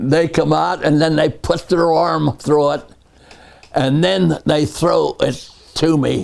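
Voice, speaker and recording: A man speaks at a very slow pace, his loudness very even throughout. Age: 80s+. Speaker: retired railroad tower operator. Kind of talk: interview answer. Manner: slow, hesitant.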